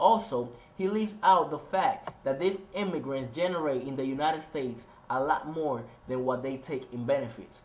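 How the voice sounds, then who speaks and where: A man with a Spanish accent speaks at a moderate pace in a fairly high voice. His intonation is lively, and background noise is noticeable. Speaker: student soldier and video essayist. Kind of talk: scripted narration.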